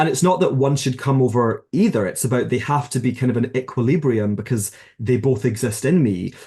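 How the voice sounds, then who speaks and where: With a Glasgow accent, a man of medium pitch talks at a fairly quick pace with hardly any pauses and very even loudness. His tone is dark, mellow and somewhat breathy, with ordinary pitch variation. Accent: Scottish (Glasgow). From Scotland, Glasgow. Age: 30s. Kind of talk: interview conversation.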